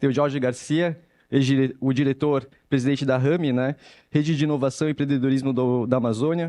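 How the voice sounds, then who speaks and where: The voice has a dark, mellow tone and a São Paulo accent, delivered at a fairly quick pace. Intonation is monotone and flat, and the loudness stays very even. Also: man, fairly high pitch for a man. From São Paulo city, Brazil. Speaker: panel moderator. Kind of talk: panel discussion moderation.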